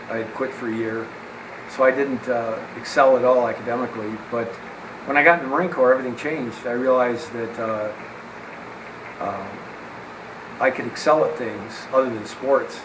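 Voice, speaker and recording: A man at medium pitch with an American accent, fairly even intonation and moderate pace, long frequent pauses, audible room echo and noticeable background noise. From central New York (Syracuse). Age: 70s. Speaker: war veteran and strength coach. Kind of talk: interview.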